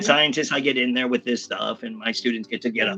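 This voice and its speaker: The speech comes at a very fast pace with lively intonation. There is noticeable background noise. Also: man, medium pitch for a man. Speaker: public speaking coach, teacher. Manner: fast talker, clear enunciation.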